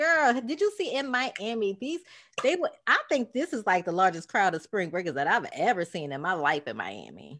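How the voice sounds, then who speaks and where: A woman's fairly high voice with vocal fry and very wide pitch swings, at a moderate pace, in a very clean recording with a silent background. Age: 30s. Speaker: podcast co-host. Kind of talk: casual chat.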